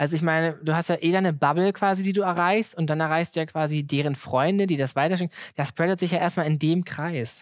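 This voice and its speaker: A man's high-pitched voice at a very fast pace, with very even loudness and fairly even intonation, on a very clean recording with a silent background. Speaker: comedian and social media content creator. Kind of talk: live podcast conversation. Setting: stage with live audience.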